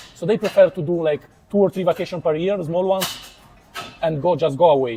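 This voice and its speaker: Over noticeable background noise, a man speaks at a very fast pace with a high pitch. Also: ordinary pitch variation. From Italy. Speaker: YouTuber interviewer. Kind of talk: casual interview.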